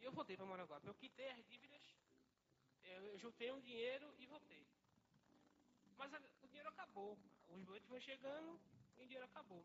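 This man talks at a fairly quick pace and an extremely high pitch, with lively intonation and long, frequent pauses. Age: 20s. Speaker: church member. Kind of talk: testimony. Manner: halting.

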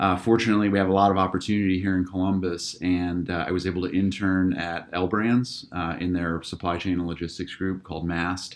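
Speaking at a fairly quick pace, a man uses a very deep, low pitch with monotone, flat intonation. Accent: American. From Northeast Ohio, near Akron. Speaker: business school research director and instructor. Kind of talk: interview.

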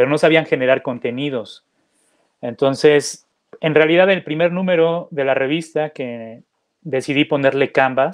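A plain, everyday voice from a man, fairly high in pitch, with ordinary pitch variation at a moderate pace. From Mexico City. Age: 40s. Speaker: magazine founder and entrepreneur. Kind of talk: interview.

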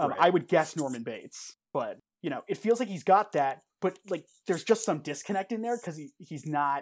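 On a very clean recording with a silent background, a man uses a plain, everyday voice with lively intonation at a fairly quick pace. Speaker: podcast co-host. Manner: casual, rambling with many filler words.

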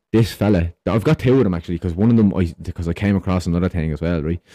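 Over a quiet background, a man with an Irish accent talks at a very fast pace in a very deep, low pitch with a dark, mellow tone and a dry, close sound with no echo.

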